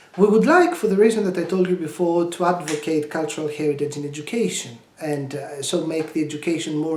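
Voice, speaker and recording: The speaker talks at a fairly quick pace. The voice carries a Greek accent. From Greece. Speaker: language education project presenter. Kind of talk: tutorial. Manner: halting, many fillers.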